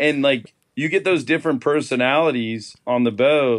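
A man speaks with a moderate tempo and lively, varied intonation. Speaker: fishing charter captain. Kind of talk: casual chat.

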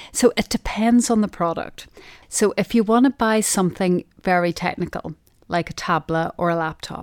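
A woman with a Derry accent speaks in a warm tone at a medium pitch with ordinary pitch variation. The recording is very clean with a silent background and a dry, close sound with no echo. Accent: Northern Irish (Derry). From Northern Ireland. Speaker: retail sourcing office manager. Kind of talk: casual interview chat. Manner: warm, friendly, humorous.

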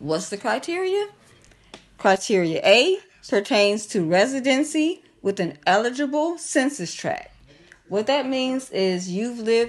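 In a Midwestern US accent, the speaker talks at a fairly slow pace with very wide pitch swings. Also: woman. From Kankakee, Illinois. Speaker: business owner and cannabis licensing consultant. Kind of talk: casual interview, teaching.

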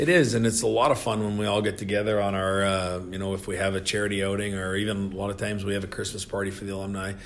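With a Canadian accent, the speaker rushes at a very fast pace with hardly any pauses, a monotone, flat intonation and audible room echo. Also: man, fairly low pitch for a man. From Canada. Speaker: retired hockey enforcer. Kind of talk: casual interview. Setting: office.

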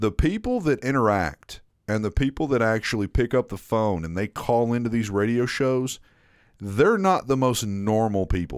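On a very clean recording with a silent background, a man of medium pitch talks at a moderate pace with lively intonation. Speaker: podcast host.

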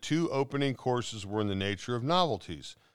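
Intonation here is lively. The reading voice is natural.

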